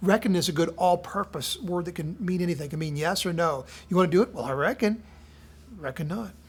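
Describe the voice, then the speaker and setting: The speaker talks at a very fast pace. The voice carries a Midwestern American accent. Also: very clean recording, silent background. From southern Indiana. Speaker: devotional speaker. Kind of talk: casual devotional talk.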